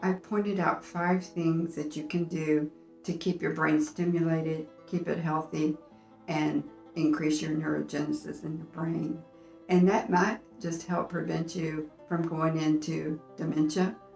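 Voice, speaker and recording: With music in the background, the speech moves at a fairly slow pace in a flat, monotone delivery. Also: woman, fairly low pitch for a woman. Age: 70s. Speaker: senior health YouTuber. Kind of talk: casual talk to camera.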